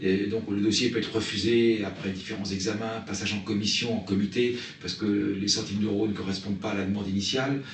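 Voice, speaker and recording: A man with a fairly low pitch speaks at a fairly quick pace in a monotone, flat delivery, with audible room echo and noticeable background noise. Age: 60s. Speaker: nature reserve director. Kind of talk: interview statement. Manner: hesitant, with frequent fillers.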